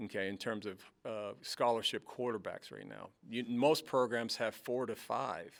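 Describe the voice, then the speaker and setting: A man's medium-pitched voice with vocal fry, at a moderate pace, fairly even intonation and big swings in loudness. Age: 50s. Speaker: college football head coach. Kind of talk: press conference. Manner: halting, many repetitions and fillers.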